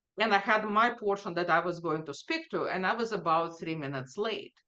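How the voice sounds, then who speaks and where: Someone with a non-native accent speaks at a moderate pace, the tone bright and sharp and the intonation lively. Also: woman. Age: 50s. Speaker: data executive. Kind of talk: interview.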